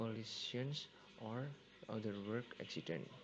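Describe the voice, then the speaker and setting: At a very slow pace, a fairly low-pitched man speaks with ordinary pitch variation amid noticeable background noise. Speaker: university student. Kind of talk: class presentation narration. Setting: home computer recording, low volume.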